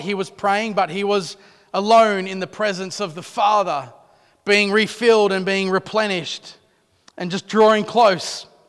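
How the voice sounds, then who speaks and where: A man's high voice in an Australian accent, fairly slow, with fairly even intonation. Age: 30s. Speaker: pastor. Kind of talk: sermon. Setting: church.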